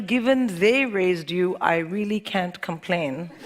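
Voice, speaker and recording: Noticeable background noise sits behind this recording. A woman speaks with lively intonation. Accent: American. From India. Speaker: comedian. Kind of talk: stand-up.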